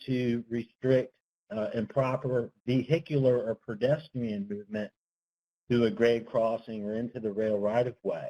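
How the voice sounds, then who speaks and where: Soft-spoken and fairly slow, a man with a dark, mellow tone and medium pitch shows ordinary pitch variation in a dry, close sound with no echo. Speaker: transportation engineering consultant. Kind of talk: webinar presentation. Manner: tends to speak softly; hesitant, many fillers. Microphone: speaking into phone.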